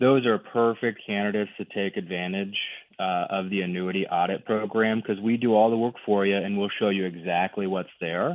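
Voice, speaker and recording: Speaking at a moderate pace, a man with an American accent has an unremarkable speaking voice, a fairly low pitch and fairly even intonation. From US Midwest. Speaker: annuity specialist. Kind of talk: radio interview. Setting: phone call.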